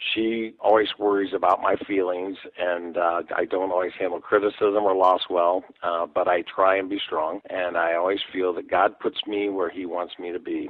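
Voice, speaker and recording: In a Midwestern American accent, a man with a very deep, low pitch speaks at a moderate pace with monotone, flat intonation. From US Midwest, Dayton area Ohio. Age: 60s. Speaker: political candidate, retired sheriff's deputy. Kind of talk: radio interview. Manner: hesitant, frequent fillers.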